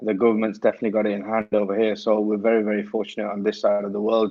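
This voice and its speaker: With a strong Lancashire accent, a man of fairly low pitch speaks at a fairly quick pace in a monotone, flat intonation. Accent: broad Lancashire. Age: young. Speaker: cricket coach. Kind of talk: casual interview chat.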